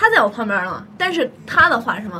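A woman speaks in a raised, projected voice with very wide pitch swings over noticeable background noise. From Shaanxi, Weinan. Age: 20s. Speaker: podcast guest. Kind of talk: casual chat. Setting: studio.

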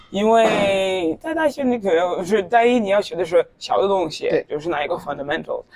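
A woman with a non-native accent speaks at a moderate pace, her pitch medium and her intonation lively. She barely pauses at all. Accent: foreign, non-native Mandarin. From Norway (Tromsø). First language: Norwegian (speaking Chinese). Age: 20s. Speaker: university student. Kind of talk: casual interview. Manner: halting. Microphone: poor recording quality.

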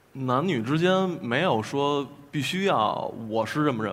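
A man's voice is heard with noticeable background noise around it. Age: 20s. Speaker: folk singer-songwriter. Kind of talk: panel discussion.

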